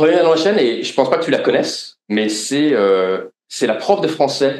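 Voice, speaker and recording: A man with vocal fry and very wide pitch swings. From France, Lorraine. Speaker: podcast host and author. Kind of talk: live interview before audience. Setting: stage with audience. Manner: hesitant, many fillers.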